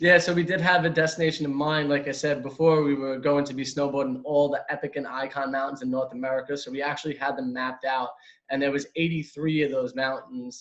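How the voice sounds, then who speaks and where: With a strong New York accent, a man speaks very fast with hardly any pauses, his fairly high-pitched voice monotone and flat. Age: 20s. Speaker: van lifer. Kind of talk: interview.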